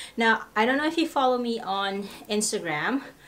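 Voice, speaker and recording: Over light background noise, a woman speaks with lively intonation. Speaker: lifestyle vlogger. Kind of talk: casual vlog chat. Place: home room. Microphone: camera far.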